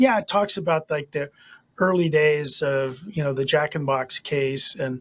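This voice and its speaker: Somewhat breathy speech with ordinary pitch variation comes through with a dry, close sound and no echo. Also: man, fairly high pitch for a man, moderate pace. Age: 60s. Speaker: attorney. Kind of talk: interview. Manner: halting, many fillers.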